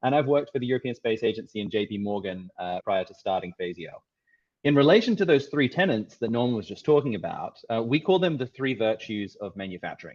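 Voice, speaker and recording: A man with a medium pitch talks at a very fast pace with lively intonation. His loudness swings widely. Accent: Australian. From Australia. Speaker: tech startup CEO and co-founder. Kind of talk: presentation. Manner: halting, with many restarts.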